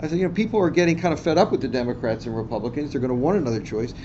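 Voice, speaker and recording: Through audible room echo and noticeable background noise, a man with an American accent speaks at a fairly high pitch with lively intonation. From Washington DC. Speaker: physician and political candidate. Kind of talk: seminar talk. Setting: university classroom. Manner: fast; halting, many fillers.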